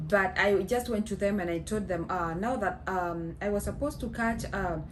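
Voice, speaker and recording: A woman speaks at a medium pitch with ordinary pitch variation. Audible room echo and noticeable background noise fill the recording. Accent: Kenyan. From Kenya. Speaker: vlogger. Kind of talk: casual storytelling. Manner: halting, many fillers.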